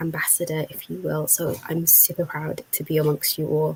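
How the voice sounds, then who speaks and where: A woman with a British accent. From UK. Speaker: marketer and youth engagement facilitator. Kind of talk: self-introduction.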